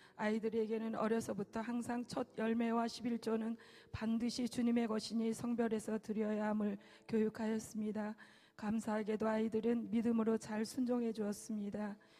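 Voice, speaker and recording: A woman speaks at a moderate pace in a fairly high pitch, her intonation flat and monotone and her loudness very even, with noticeable background noise behind her. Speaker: church deaconess. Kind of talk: testimony.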